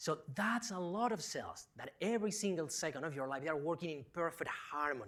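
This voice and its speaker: A man's high-pitched, animated voice with a Spanish accent, lively intonation and a moderate pace, on a very clean recording with a silent background. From Spain. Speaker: professor. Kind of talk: public lecture.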